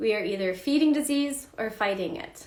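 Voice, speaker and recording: A woman speaks at a moderate pace with ordinary pitch variation. Some room echo can be heard. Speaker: health coach teaching a class. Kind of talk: live online class. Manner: animated.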